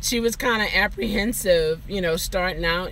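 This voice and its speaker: Noticeable background noise and audible room echo surround a woman speaking in an American accent. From Baltimore, Maryland. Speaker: rideshare driver and vlogger. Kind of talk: casual live-stream chat. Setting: live stream. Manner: animated.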